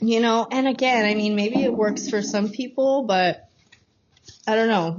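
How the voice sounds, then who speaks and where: The pace is fairly slow. A woman speaks with a fairly high pitch. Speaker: podcast co-host. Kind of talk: casual chat. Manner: loud.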